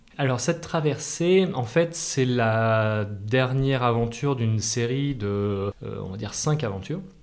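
Lively intonation at a fairly slow pace with hardly any pauses, plus audible room echo. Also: man, medium pitch for a man. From Massif Central, France (Clermont-Ferrand). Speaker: entrepreneur and adventurer. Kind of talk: interview. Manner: hesitant with filler repetitions.

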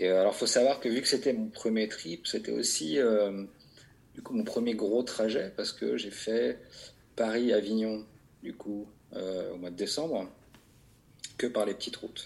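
A man's voice at a fairly slow pace, with long, frequent pauses. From southern France, Vaucluse. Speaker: winter motorcycle traveller. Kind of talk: casual chat. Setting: video call. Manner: halting.

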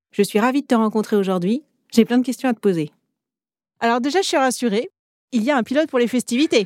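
Very cleanly recorded with a silent background and a dry, close sound with no echo, a woman speaks at a high pitch and very fast pace, with lively intonation, very even loudness, and long, frequent pauses. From Paris. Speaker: podcast host. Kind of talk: interview.

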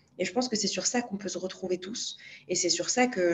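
Against noticeable background noise, a woman with a medium pitch talks at a very fast pace. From Morocco, Marrakech. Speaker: public policy incubator co-founder. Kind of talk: interview conversation.

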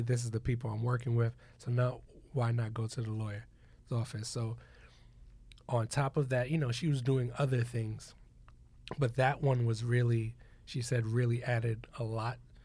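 In a very clean recording with a silent background, a man with a medium pitch and a dark, mellow, somewhat breathy tone talks at a moderate pace in a monotone, flat way, with long, frequent pauses. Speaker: podcast host. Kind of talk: casual chat.

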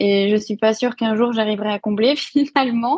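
A woman with a fairly high pitch sounds somewhat breathy. Her intonation stays fairly even. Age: 30s. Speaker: nutrition and fitness coach, former speech therapist. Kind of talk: podcast interview.

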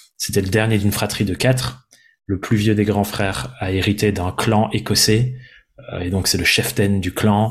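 Speaking at a fairly slow pace, a man with a fairly low pitch and vocal fry shows ordinary pitch variation on a very clean recording with a silent background. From France, Dordogne. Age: 20s. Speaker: entrepreneur and podcaster. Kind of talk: interview conversation. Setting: seated at his desk.

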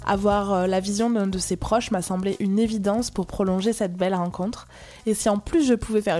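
A woman's medium-pitched voice, fairly quick in pace, with ordinary pitch variation. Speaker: podcast host. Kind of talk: scripted intro and interview.

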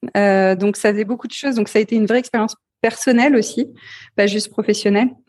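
A woman with a fairly high pitch, fairly even intonation and a moderate pace. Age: 40s. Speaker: entrepreneur and CEO in digital accessibility. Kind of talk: interview. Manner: hesitant, many fillers.

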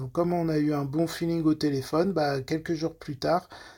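On a very clean recording with a silent background, a man speaks in a somewhat breathy, fairly high voice with fairly even intonation. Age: 30s. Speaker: nurse. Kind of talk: testimony. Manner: halting.

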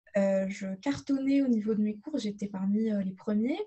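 Somewhat breathy and fairly high-pitched, a woman talks at a fairly slow pace. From Morocco, Casablanca. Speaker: holistic therapist. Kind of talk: interview. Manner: halting.

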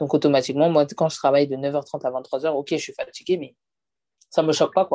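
Recorded very cleanly against a silent background, a woman with a very deep, low pitch and a dark, mellow tone speaks at a fairly quick pace with fairly even intonation. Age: 20s. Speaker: hairdresser and salon owner. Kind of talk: interview. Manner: casual.

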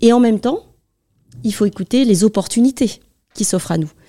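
Dark and mellow in tone, a woman speaks at a moderate pace with lively intonation, the sound dry and close with no echo. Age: 50s. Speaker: tech sales manager. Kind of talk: interview.

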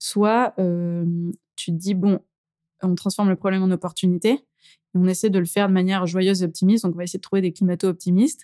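A woman at a medium pitch and very fast pace, in a dry, close sound with no echo on a very clean recording with a silent background. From France, Drôme near Valence. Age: young. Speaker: entrepreneur. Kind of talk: interview. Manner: animated.

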